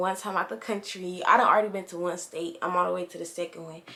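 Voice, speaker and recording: A woman speaks over noticeable background noise. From Indianapolis, Indiana. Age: 18. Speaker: YouTuber. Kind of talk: casual Q&A vlog. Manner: casual, conversational.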